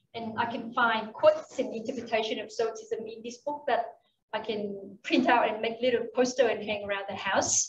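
Light background noise and audible room echo accompany a woman speaking at a moderate pace with ordinary pitch variation. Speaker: entrepreneur. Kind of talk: conference talk. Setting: stage with audience. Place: hall. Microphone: podium.

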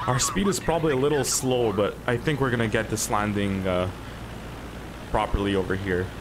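A man speaks at a fairly quick pace with a Montreal accent and lively intonation, his loudness very even, with noticeable background noise. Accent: Montreal English Canadian. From Montreal, Quebec, Canada; Quebec, Canada. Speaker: gaming streamer. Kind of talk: gameplay commentary tour; gameplay commentary. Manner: casual, many filler words. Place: home room.

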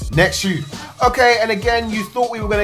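A man talks rather quickly. Clear music can be heard behind him. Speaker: sneaker vlogger. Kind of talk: casual vlog chat. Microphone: phone near.

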